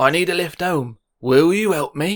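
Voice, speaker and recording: A wheezy, put-on character voice moves along at a moderate pace. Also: man. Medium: read story. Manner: brisk, bossy.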